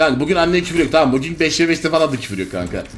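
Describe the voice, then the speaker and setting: Faint music plays behind a man speaking very fast at a fairly high pitch. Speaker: gaming streamer. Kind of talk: live gameplay commentary. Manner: animated. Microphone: studio mic.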